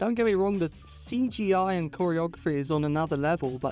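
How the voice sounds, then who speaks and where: The speech moves at a moderate pace while music plays in the background. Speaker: video essayist. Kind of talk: video essay narration.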